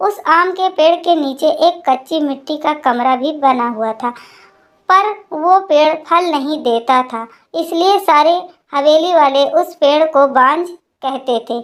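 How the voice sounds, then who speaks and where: Her pace is fairly slow and her pitch high. The woman's pitch variation is ordinary. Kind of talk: emotional first-person storytelling. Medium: read story. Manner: soft, melancholy.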